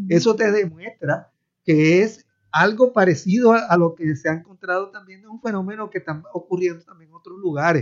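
A man with a high-pitched voice talks at a moderate pace, his loudness swinging widely while his pitch varies in an ordinary way. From Puerto Rico. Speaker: professor. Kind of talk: radio panel discussion.

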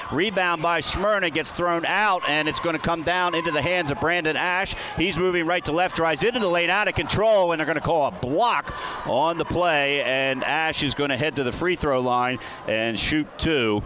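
Noticeable background noise runs through the clip. A man speaks in a high voice. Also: ordinary pitch variation, moderate pace, very even loudness. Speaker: radio play-by-play broadcaster. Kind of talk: live commentary. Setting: gymnasium, courtside at mid-court with crowd and band.

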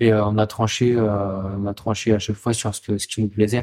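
The man talks at a very slow pace. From Essonne, France (Paris region). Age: 20s. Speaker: chef and restaurant co-owner. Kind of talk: casual interview chat.

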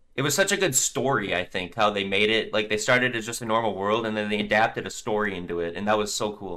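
Speaking at a very fast pace with hardly any pauses, a man uses a fairly low voice and a bright, sharp tone. His intonation is fairly even. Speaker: gaming YouTuber and clan manager. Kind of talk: casual chat.

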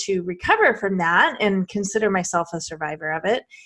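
A woman with a normal speaking voice, fairly quick pace, and ordinary pitch variation, on a very clean recording with a silent background. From Arizona. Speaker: LGBTQ advocate and public speaker. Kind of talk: casual interview.

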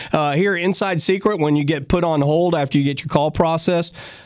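Here is a man with a normal speaking voice. His pitch sits fairly high, and the background is quiet. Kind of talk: radio DJ patter: live gardening call-in show, chatty sponsor plugs and call-taking. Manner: brisk, upbeat and folksy, with quick banter, ad-libbed jokes and sponsor plugs.

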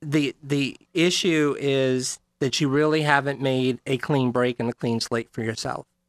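In a very clean recording with a silent background, a man speaks in an ordinary speaking voice, fairly high in pitch and fairly even in intonation. He goes at a fairly slow pace, and the sound is dry and close with no echo. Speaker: psychic radio personality. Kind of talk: casual radio chat. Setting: studio.

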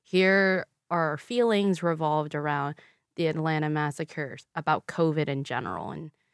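Recorded very cleanly with a silent background and a dry, close sound free of echo, a woman with a Vietnamese accent speaks at a moderate pace in a very deep, low pitch. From Louisville, Kentucky, US. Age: 20s. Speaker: guest, former pageant queen and public health graduate. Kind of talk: casual interview chat. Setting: studio.

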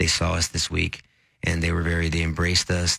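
A man with an American accent talks at a fairly quick pace, his bright, sharp tone edged with vocal fry. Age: 40s. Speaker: radio host and lawyer, former district attorney. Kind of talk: casual radio talk.

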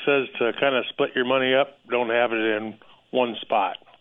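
A man with a normal speaking voice talks at medium pitch and a moderate pace, keeping his intonation fairly even. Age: 60s. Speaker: radio caller, state worker. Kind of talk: phone-in question.

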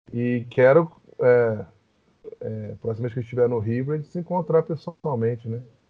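A man with a plain, everyday voice, medium in pitch, with ordinary pitch variation, at a moderate pace. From Rio de Janeiro, Brazil. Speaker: lawyer. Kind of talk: podcast interview.

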